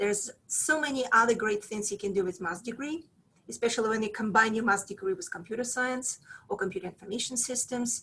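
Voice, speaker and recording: A woman's fairly high, bright, sharp voice with lively intonation and a Russian accent. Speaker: professor. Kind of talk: presentation to prospective students. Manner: hesitant, many fillers.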